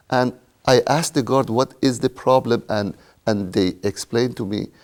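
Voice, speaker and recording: A man with an Iranian accent speaks at a moderate pace, medium in pitch, with ordinary pitch variation. The recording is very clean, with a silent background and a dry, close sound with no echo. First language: Persian. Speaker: retired IT worker. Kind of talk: interview.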